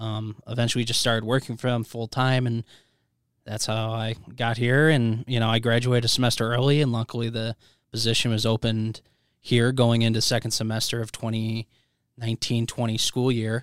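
Speaking at a medium pitch and a fairly quick pace, a man has an American accent and monotone, flat intonation. The sound is dry and close, with no echo. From US Midwest, Chicago suburbs. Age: 20s. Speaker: college sports information director. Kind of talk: casual podcast interview.

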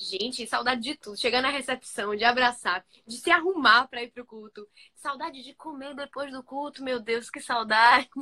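Raised and projected, the voice has a bright, sharp tone, ordinary pitch variation, big swings in loudness, and a moderate pace. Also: woman, high pitch for a woman, dry, close sound with no echo. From Bahia, Brazil. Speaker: youth speaker and social media creator. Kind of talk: sermon.

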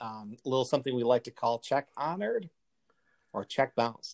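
A man with an American accent at a moderate pace, the sound dry and close with no echo. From United States. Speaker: podcast host. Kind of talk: casual chat.

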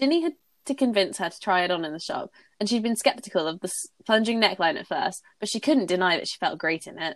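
Very fast and animated, a woman speaks in a British accent at medium pitch. Her pitch swings very widely and her loudness shifts a lot. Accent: British, Received Pronunciation-like. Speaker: podcast host reading fanfiction aloud. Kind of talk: casual chat with fic reading aloud. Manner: animated, laughs often.

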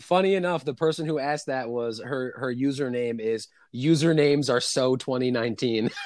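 The speaker has an American accent and keeps a moderate pace. Noticeable background noise runs underneath. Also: man, medium pitch for a man, ordinary pitch variation. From New York City. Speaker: podcast guest. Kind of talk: casual chat.

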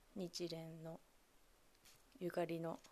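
Her voice has a dark, mellow tone. This woman speaks at a fairly low pitch. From Japan, Kamogawa, Chiba. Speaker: solo podcast host. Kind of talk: solo podcast monologue. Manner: halting, many fillers.

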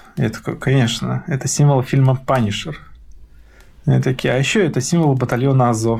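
Somewhat breathy and medium in pitch, a man talks at a moderate pace with ordinary pitch variation. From Belarus, Mogilev region village. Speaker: torture survivor, IT worker. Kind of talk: testimony. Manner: animated.

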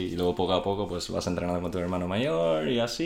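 The voice belongs to a man with a very deep, low pitch. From international upbringing, Swedish. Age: 20s. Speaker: professional football goalkeeper. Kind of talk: interview.

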